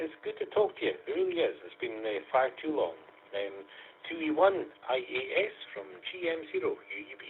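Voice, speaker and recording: A man speaks at a moderate pace, his loudness swinging widely. Noticeable background noise runs underneath. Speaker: amateur radio net controller. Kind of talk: radio net chat. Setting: amateur radio net via online conference.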